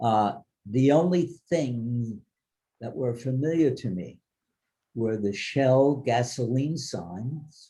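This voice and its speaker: The voice is dark and mellow, somewhat breathy, and very slow, with long, frequent pauses and ordinary pitch variation. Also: man, medium pitch for a man. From Germany, later New York. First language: German. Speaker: Holocaust survivor speaker. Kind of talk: testimony to students.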